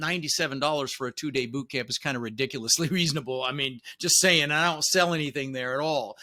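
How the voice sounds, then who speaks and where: Very fast and animated, a man speaks in a bright, sharp tone. The recording is very clean, with a silent background. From Netherlands, immigrated to US at six. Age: 60s. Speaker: real estate investor and coach. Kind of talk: interview.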